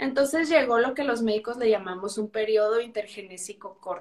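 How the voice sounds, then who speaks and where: This woman has an unremarkable speaking voice, pitched fairly high with ordinary pitch variation. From Chihuahua, northern Mexico. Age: 30s. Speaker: pain medicine physician. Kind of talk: interview.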